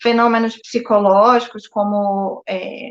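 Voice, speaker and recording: In a northeastern Brazilian accent, a woman speaks in a fairly high pitch with monotone, flat intonation. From Brazil, Northeast. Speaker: psychologist. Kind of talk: live-stream interview. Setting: live stream. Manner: hesitant, many filler words.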